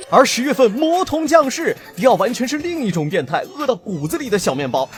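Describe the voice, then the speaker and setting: Music plays behind a man who speaks fairly quickly at an extremely high pitch with very wide pitch swings. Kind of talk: anime commentary narration. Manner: humorous, casual.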